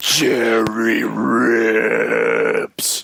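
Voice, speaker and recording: Putting on a character voice, a man speaks in a raspy tone. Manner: menacing, eerie.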